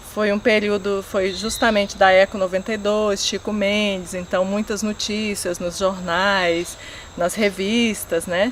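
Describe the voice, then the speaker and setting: At a fairly slow pace, a woman speaks with a medium pitch and monotone, flat intonation. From rural Brazil. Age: 40s. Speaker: agricultural researcher. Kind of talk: documentary interview.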